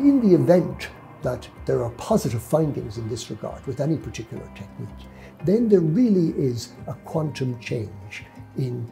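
With faint music in the background, a man talks at a moderate pace, his loudness swinging widely. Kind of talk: interview answer. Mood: earnest, measured. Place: office. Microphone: lapel.

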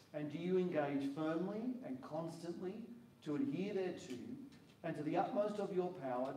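With audible room echo and light background noise, a man speaks at a moderate pace with ordinary pitch variation. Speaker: minister leading the induction. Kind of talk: formal liturgical questions. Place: hall. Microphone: handheld.

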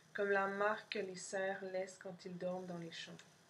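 A woman speaks in a deadpan tone over light background noise. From Montreal, Quebec. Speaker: poet and artist reading own zine. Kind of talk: poem reading, multilingual French, English and Spanish. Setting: pre-recorded video for an event. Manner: slow, dreamy, contemplative; measured pauses, deadpan lists. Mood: calm, soft, intimate. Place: home room. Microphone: webcam.

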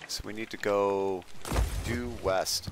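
A man talks in a fairly low pitch. The sound is dry with no echo, and there is noticeable background noise. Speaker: gaming streamer. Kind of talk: casual chat. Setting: voice chat while streaming. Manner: loud. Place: home room.

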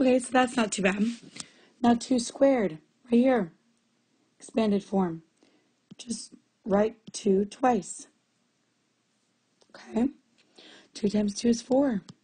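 Somewhat breathy and dark, mellow in tone, a woman speaks at a fairly high pitch and a very slow pace with ordinary pitch variation. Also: long, frequent pauses. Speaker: math teacher. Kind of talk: tutorial. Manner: casual, conversational.

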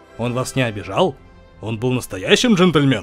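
Faint music plays in the background as a man uses a put-on character voice at medium pitch and a moderate pace.

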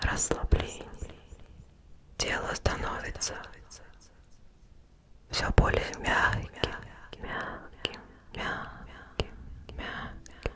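A soft-spoken woman whispers with long, frequent pauses. There is loud background noise. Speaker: ASMR creator. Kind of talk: guided relaxation, soft-spoken ASMR. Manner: soft, slow ASMR whisper. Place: home room. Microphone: studio mic.

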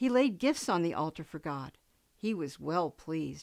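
A woman's gentle, warm tone with very wide pitch swings, over a quiet background. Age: old. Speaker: grandparent reading Bible stories. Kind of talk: bedtime Bible story read aloud to grandchildren. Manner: gentle, slow storybook pacing for children; warm, affectionate sign-off to little listeners. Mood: gentle, warm storytelling. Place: home room.

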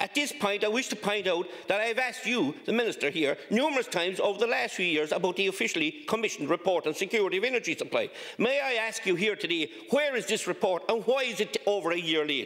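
Lively intonation marks a man's very fast speech. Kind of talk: parliamentary question speech. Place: hall. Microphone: podium.

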